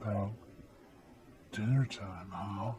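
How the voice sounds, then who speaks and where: A man puts on a gravelly character voice with a fairly low pitch. Clear background noise sits behind him. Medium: read story. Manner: lax, casual, veiled menace.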